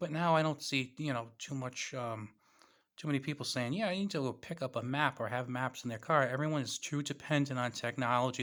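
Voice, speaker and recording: A man with a New England accent speaks fairly quickly at a fairly high pitch. His pitch variation is ordinary, and the recording is very clean with a silent background. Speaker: YouTuber reviewing preparedness gear. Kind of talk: casual vlog product talk.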